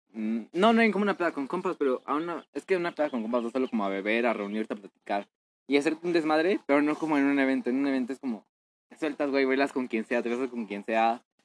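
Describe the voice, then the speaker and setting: At a very fast pace, a man speaks at a medium pitch with lively intonation and a Mexican accent, in a dry, close sound with no echo. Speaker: podcast host. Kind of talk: casual chat.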